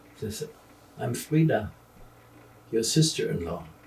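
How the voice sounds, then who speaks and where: A man with a German accent, vocal fry and a very slow pace. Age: 80s. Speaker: retired journalist. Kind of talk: interview. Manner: halting.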